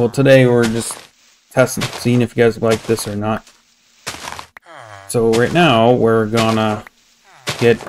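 A man talks at a moderate pace with long, frequent pauses. Light background noise can be heard. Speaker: gamer streamer. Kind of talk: casual gameplay commentary. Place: home room.

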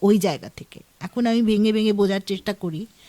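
A woman with a plain, everyday voice, pitched fairly high. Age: 50s. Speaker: author. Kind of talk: radio interview. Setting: radio studio.

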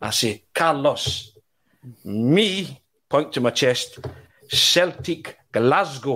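A man with a Scottish accent speaks in a bright, sharp tone with lively intonation. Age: 40s. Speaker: football journalist. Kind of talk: casual chat.

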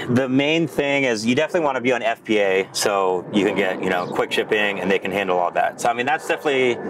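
A man talks at a very fast pace with hardly any pauses. The sound is dry with no echo, and background noise is noticeable. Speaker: guest. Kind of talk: interview answer. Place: home room. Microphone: lapel.

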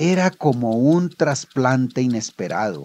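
Lively intonation marks a man's medium-pitched voice as he speaks at a very slow pace. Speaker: author reading his own story. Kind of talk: audio drama story narration.

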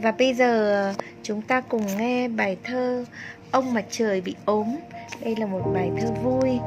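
A woman's fairly high voice at a very slow pace, with music in the background. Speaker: volunteer reader. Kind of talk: poetry reading for children.

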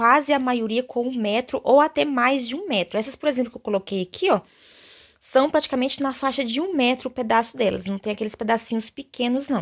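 Over a quiet background, a woman speaks at a high pitch in an animated, warm tone. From Brazil. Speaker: fabric shop seller and sewing channel host. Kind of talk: sales pitch, street-vendor style promo showing fabrics. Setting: video. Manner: animated, chatty and warm; fast, persuasive, diminutive-laden. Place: workshop. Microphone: phone near.

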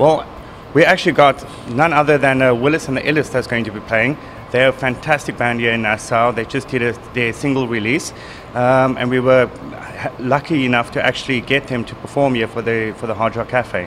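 Light background noise sits behind the voice. A man speaks at a fairly quick pace with fairly even intonation. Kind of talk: interview answer. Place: bar. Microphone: handheld.

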